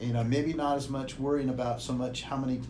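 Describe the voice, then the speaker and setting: Someone with an American accent talks at a fairly quick pace with fairly even intonation, and audible room echo surrounds the voice. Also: man. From US Pacific Northwest (Walla Walla, Washington). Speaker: retired football coach and athletic administrator. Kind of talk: casual interview.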